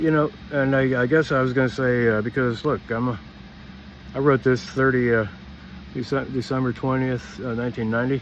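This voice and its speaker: A man's speech moves at a moderate pace, with ordinary pitch variation. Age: 60s. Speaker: vlogger. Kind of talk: personal monologue. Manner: halting.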